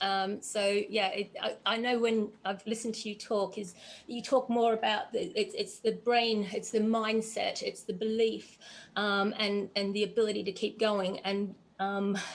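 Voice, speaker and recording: Speaking at a fairly slow pace, a woman uses a fairly high pitch and monotone, flat intonation. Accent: Australian. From Australia, Geelong near Melbourne. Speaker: endurance runner and interviewer. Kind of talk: casual interview chat. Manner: hesitant, many fillers.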